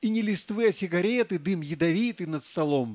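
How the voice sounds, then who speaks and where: A man with a high voice swings very widely in pitch. The background is quiet. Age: old. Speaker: poet. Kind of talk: poetry reading. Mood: wry, humorous. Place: stage. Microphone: handheld.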